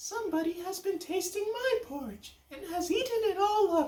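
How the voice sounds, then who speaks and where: In a put-on character voice with extremely high pitch, the speaker goes at a moderate pace. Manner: plaintive, crying out.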